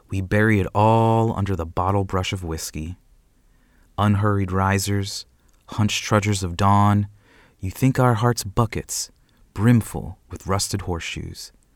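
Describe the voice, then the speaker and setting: A man's unremarkable speaking voice, fairly low in pitch, at a fairly slow pace with fairly even intonation, on a very clean recording with a silent background. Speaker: poet. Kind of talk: spoken-word poetry reading in a cowboy-western vernacular voice. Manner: drawling, frontier-dialect cadence, ain't and 'em clipped; measured, lyrical, savoring dense imagery with pauses.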